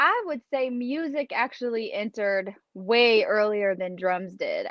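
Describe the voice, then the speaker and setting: Her intonation is lively. The woman speaks at a very slow pace. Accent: Kentucky. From Kentucky, US. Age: 30s. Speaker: drummer. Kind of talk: casual interview.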